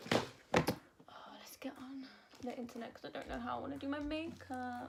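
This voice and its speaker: Over noticeable background noise, a woman with a British accent whispers at a moderate pace, her loudness swinging widely. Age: 20s. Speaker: singer and beauty vlogger. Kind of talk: casual chat. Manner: soft-spoken.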